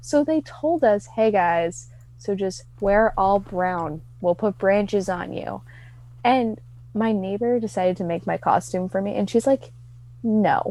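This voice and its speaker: Speaking at a fairly slow pace, a woman is heard on a very clean recording with a silent background. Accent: Midwestern. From US Midwest. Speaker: podcast guest. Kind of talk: casual chat.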